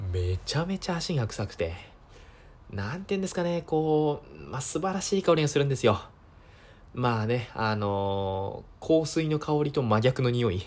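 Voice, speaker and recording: A man speaks at a medium pitch and a moderate pace. His pitch swings very widely. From Japan, Miyagi (Sendai). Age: 20s. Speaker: podcast host. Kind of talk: casual solo talk. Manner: hesitant, many fillers.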